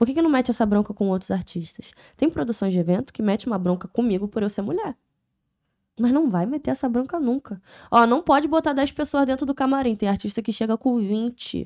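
Delivered fairly quickly with lively intonation, this is a plain, everyday voice. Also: woman, fairly high pitch for a woman. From Niterói / São Gonçalo, Rio de Janeiro state, Brazil. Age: 20s. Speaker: rapper. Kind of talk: casual chat.

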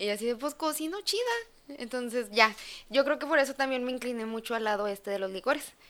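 Her voice is high, and this woman talks at a fairly quick pace with ordinary pitch variation. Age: 20s. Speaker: chef and sommelier. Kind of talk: casual chat.

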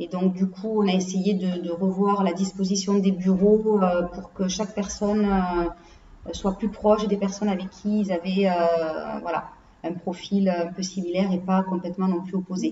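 A woman at medium pitch, fairly slow, with monotone, flat intonation and hardly any pauses. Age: 40s. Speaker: HR consultant. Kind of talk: interview. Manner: hesitant, many fillers.

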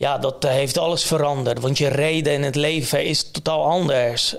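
Noticeable background noise behind a man's voice, moving at a moderate pace. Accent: Polish. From Poland. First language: Polish (speaking Dutch). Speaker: entrepreneur. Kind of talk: interview. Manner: halting, many fillers.

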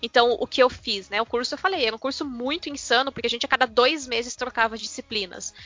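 With music in the background, a woman speaks at a high pitch and a very fast pace, with ordinary pitch variation and hardly any pauses. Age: 30s. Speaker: teacher. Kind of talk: casual chat.

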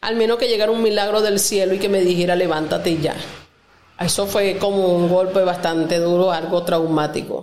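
A woman's medium-pitched voice at a moderate pace, fairly even in intonation and very even in loudness, with audible room echo. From Venezuela, Lara state. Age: 40s. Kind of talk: testimony.

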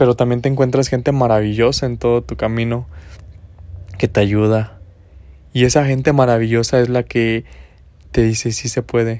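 A man with a central Mexican accent and a dark, mellow tone, medium in pitch, monotone and flat in intonation, at a moderate pace with long, frequent pauses. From Mexico, Guanajuato. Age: 20s. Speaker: podcaster. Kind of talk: motivational monologue. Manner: casual, rambling with repetitions.

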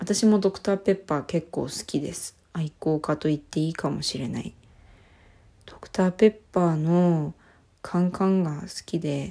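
A dark, mellow tone with big swings in loudness, on a very clean recording with a silent background. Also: woman, fairly low pitch for a woman, ordinary pitch variation, moderate pace. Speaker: podcast co-host. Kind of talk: casual solo talk. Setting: recording in a washroom at home. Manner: soft, listless, not crisp. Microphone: echoey room sound.

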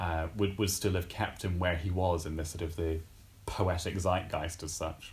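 Somewhat breathy and very deep, a man's voice holds a monotone, flat intonation at a moderate pace. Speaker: poetry scholar. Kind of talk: casual chat.

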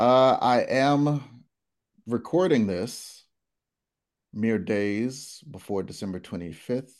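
Against a quiet background, the speech moves at a very slow pace with long, frequent pauses and lively intonation. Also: man, medium pitch for a man. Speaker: game show host. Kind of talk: game show hosting with improv banter. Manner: playful, animated, joking.

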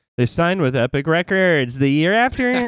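A man puts on a nasal character voice, pitched high. He delivers it at a moderate pace. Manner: fast, crazy.

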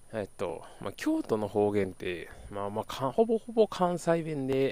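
The recording is very clean, with a silent background. A man speaks at a medium pitch that moves in very wide swings. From Kyoto, Japan. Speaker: podcast host. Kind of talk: casual solo podcast monologue. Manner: chatty, rambling.

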